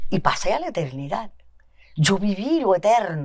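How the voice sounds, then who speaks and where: A woman at a very slow pace. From Cuba, Havana area. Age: 80s+. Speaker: guest telling life story. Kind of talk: testimony. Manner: hesitant, many fillers.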